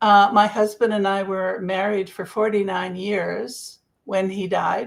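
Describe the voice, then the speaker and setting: A woman at a medium pitch with a Canadian accent, fairly slow and monotone with flat intonation, in a very clean recording with a silent background. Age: 70s. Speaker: grief coach. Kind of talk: interview. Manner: halting.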